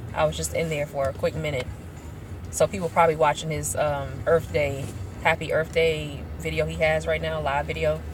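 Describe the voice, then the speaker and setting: Amid noticeable background noise, a woman talks in an animated tone at a fairly quick pace. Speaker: YouTube commentator. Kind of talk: casual commentary vlog. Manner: casual, animated.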